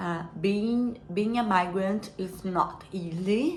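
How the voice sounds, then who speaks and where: A woman with a non-native accent speaks at a very slow pace with fairly even intonation. The room echo is audible. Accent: foreign accent, self-described as imperfect. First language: not English. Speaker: self-help vlogger. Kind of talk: personal reflection monologue. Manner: halting, many fillers and repeats.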